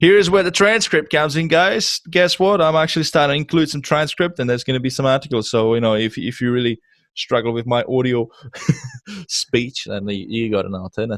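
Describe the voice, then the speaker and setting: A man with a Czech accent at a medium pitch, fairly quick and lively in intonation, in a very clean, silent recording with a dry, close sound and no echo. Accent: noticeable Czech accent in English. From Czech Republic. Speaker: podcast host. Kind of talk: interview podcast.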